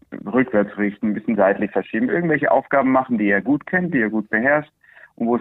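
Pitch variation is ordinary as a man speaks at a very fast pace. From Andalusia, Spain (Swiss family). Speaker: horse trainer. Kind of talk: interview.

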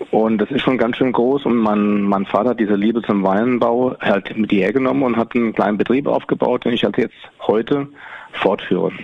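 Speaking at a moderate pace, a man uses a medium pitch and fairly even intonation with very even loudness. Noticeable background noise runs underneath. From Rheingau, Germany. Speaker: winemaker. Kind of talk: casual interview. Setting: on location at his winery. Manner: halting, many fillers.

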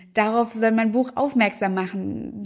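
A woman with a plain, everyday voice, fairly high pitch and ordinary pitch variation, in a very clean recording with a silent background. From Münster, Germany. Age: 20s. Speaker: YouTuber and author. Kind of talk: book presentation monologue.

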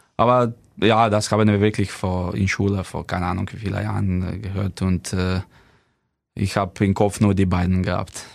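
In a Slovenian accent, the speaker talks at a moderate pace with monotone, flat intonation. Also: man, fairly low pitch for a man. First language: Slovenian (speaking German). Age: 30s. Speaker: professional handball player. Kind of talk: casual interview. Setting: studio. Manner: halting, many fillers.

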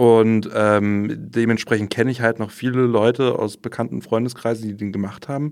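Monotone and flat, a man speaks at a medium pitch and a moderate pace with hardly any pauses. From Berlin. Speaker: trainee journalist. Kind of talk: casual chat.

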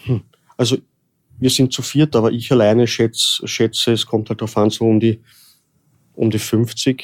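A man talks at a medium pitch and moderate pace, with long, frequent pauses and monotone, flat intonation. The sound is dry and close, with no echo. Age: 30s. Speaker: undertaker and embalmer. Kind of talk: interview. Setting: in person, office building. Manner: halting.

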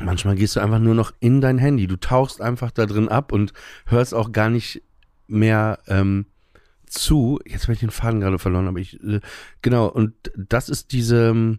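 Speaking at a moderate pace and medium pitch, a man with a dark, mellow tone keeps his intonation fairly even in a very clean recording with a silent background. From northern Germany, Emsland. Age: 40s. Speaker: stand-up comedian. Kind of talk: casual interview.

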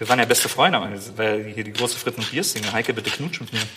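A man speaks over noticeable background noise. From Rhineland, Germany (Wesseling near Cologne). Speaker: podcaster, author and TV host. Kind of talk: casual chat.

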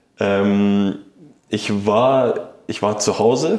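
A man's fairly low voice with audible room echo. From Saxony, Ore Mountains (Annaberg-Buchholz), later Munich. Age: 20s. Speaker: professional footballer. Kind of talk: interview. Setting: stadium room, in person. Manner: halting, many fillers.

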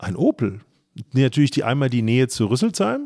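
With ordinary pitch variation, this man talks at a moderate pace and medium pitch in a plain, everyday voice. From Frankfurt area, Germany. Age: 50s. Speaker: automobile club executive. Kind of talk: interview and studio debate.

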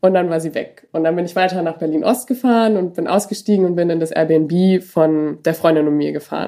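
A woman talks at a fairly quick pace. Her fairly low voice has a dark, mellow tone. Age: 20s. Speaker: medical student. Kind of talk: personal storytelling interview.

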